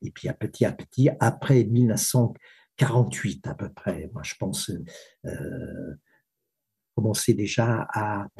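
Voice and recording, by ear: Speaking at a fairly slow pace, a man has a fairly low pitch, a dark, mellow tone and a slightly husky edge.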